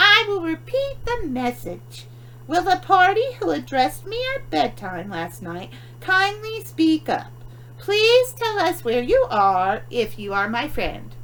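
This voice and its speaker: Against clear background noise, a put-on character voice is raised and projected at a fairly slow pace. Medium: read story.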